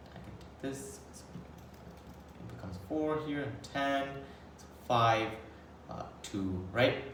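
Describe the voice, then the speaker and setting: Speaking at a fairly slow pace, a man is heard with audible room echo and noticeable background noise. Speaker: math tutor. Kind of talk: tutorial.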